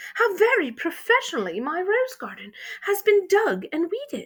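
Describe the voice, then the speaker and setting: Using a put-on character voice, a woman talks at a moderate pace at an extremely high pitch. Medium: read story. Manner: emphatic, excitable.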